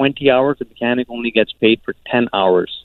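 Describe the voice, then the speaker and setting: Here a man speaks at a moderate pace. His is an unremarkable speaking voice. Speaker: caller. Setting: phone call.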